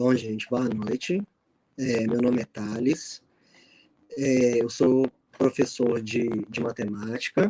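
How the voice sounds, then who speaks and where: A man's dark, mellow tone at a very slow pace, with long, frequent pauses, dry and close with no echo. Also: medium pitch for a man, ordinary pitch variation. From Minas Gerais, Brazil. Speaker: math teacher. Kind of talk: video call panel. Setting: video call from bedroom. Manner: halting.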